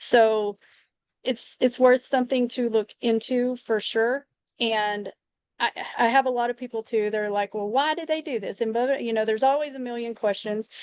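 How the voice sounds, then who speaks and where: In a Texas accent, a woman with a fairly high pitch talks at a moderate pace with fairly even intonation, the sound dry and close with no echo. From Texas, Lubbock. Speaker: hairdresser and interior designer. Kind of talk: interview testimony.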